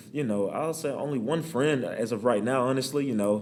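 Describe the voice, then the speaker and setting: A man at a fairly quick pace, ordinary pitch variation, and audible room echo. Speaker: college student. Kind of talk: casual chat. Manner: fast.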